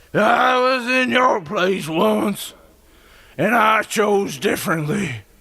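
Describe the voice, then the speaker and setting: A man uses a raspy, put-on character voice, high in pitch and very slow. His intonation is lively while his loudness stays very even. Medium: read story. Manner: sarcastic, curt.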